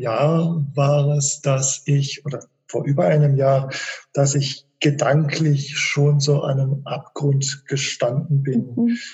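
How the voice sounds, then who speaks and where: A man at a very slow pace, fairly high-pitched for a man, with fairly even intonation. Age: 50s. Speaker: author and migraine patient, physicist. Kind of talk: interview. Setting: video call.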